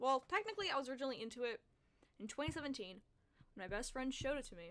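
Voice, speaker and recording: A woman's high voice in an American accent, full of very wide pitch swings. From California. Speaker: streamer and musician. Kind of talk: casual live-stream chat. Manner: fast. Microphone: quiet at first, mic gain turned down.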